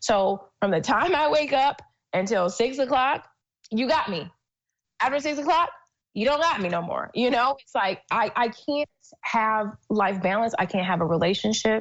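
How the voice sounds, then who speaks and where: A woman's voice at a moderate pace, with very wide pitch swings. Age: 30s. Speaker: entrepreneur. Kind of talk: casual interview.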